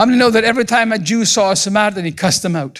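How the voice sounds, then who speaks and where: The recording is very clean and the background is silent. A man's lively intonation carries his words at a very fast pace. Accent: Scottish. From Scotland. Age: 60s. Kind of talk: sermon. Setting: church with congregation.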